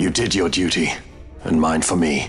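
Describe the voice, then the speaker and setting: With clear music behind him, a man speaks at a moderate pace in a raspy, put-on character voice. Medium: short film. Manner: grave, measured.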